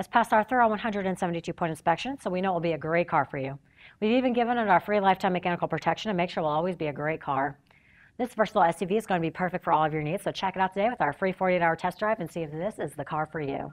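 The woman's voice sits fairly low. She talks at a very fast pace. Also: ordinary pitch variation. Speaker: presenter.

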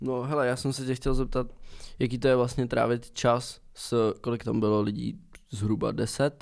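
Recorded very cleanly against a silent background, a man with a normal speaking voice and medium pitch talks at a moderate pace with fairly even intonation. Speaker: podcast host. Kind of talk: casual chat. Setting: studio.

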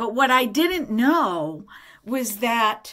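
Her pitch swinging very widely, a woman speaks at a very slow pace. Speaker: tarot vlogger. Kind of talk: casual vlog chat. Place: home room. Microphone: phone near.

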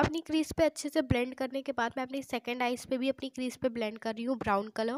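A woman with a high voice talks at a moderate pace, hardly pausing, in a dry, close recording with no echo. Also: fairly even intonation. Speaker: beauty YouTuber. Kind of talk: makeup tutorial voiceover.

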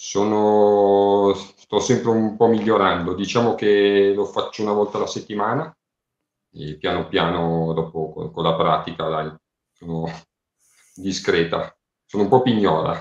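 A man with a fairly low voice speaks at a fairly slow pace with ordinary pitch variation, long and frequent pauses, and audible room echo over a quiet background. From Lombardy. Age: 40s. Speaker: crossdresser and story writer; interview guest. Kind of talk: casual interview. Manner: halting. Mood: relaxed, friendly. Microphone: video call.

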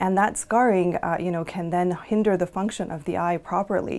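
At a moderate pace, a woman speaks in a fairly low pitch with fairly even intonation. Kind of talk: interview answer. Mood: calm, informative. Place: office.

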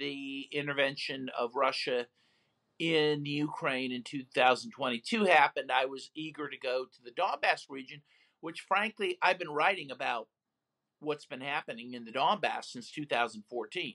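Over a quiet background, a man with a fairly high pitch and a bright, sharp tone speaks at a fairly slow pace, with ordinary pitch variation and big swings in loudness. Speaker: human rights lawyer and author; interview guest. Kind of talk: interview. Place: home room. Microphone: video call.

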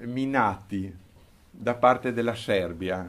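Very slowly, a man with a medium pitch speaks using lively intonation. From Trentino, northern Italy (Volano); Trentino, Italy. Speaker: war injury survivor, retired accountant. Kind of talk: oral history talk to schoolchildren; interview answer, storytelling. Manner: halting, with hesitations. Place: classroom. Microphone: handheld.

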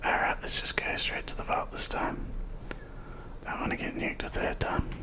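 A man whispers at a moderate pace. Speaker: gamer. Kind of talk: ASMR gaming commentary. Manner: whispered. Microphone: studio mic.

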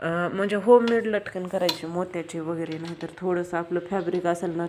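Over noticeable background noise, a woman speaks in a fairly low pitch with monotone, flat intonation. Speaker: sewing and craft video creator. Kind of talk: tutorial.

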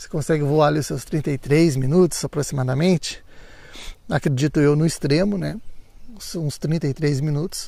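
A man's dark, mellow, somewhat breathy voice at a moderate pace, with big swings in loudness, on a very clean recording with a silent background. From Brazil, São Paulo state (Santo Antônio do Pinhal). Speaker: drone YouTuber. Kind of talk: vlog narration. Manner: animated.

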